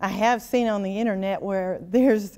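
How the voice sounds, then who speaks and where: At a moderate pace, a woman with an unremarkable speaking voice talks in a medium pitch with fairly even intonation. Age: 60s. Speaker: state senator. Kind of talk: interview.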